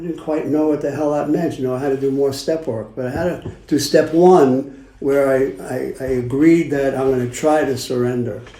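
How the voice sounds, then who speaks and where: Someone with a Brooklyn accent speaks at a moderate pace and with fairly even intonation, over noticeable background noise and audible room echo. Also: man, fairly high pitch for a man. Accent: New York (Brooklyn). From Brooklyn, New York. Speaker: recovering addict sharing at a meeting. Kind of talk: recovery meeting share.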